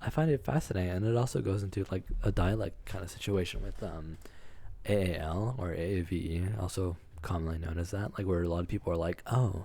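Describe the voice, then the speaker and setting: A man with an American accent talks fairly quickly in a very deep, low pitch, somewhat breathy, with a dark, mellow tone and ordinary pitch variation. The recording is very clean with a silent background. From Texas. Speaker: podcast co-host. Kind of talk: casual chat. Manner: halting, many fillers.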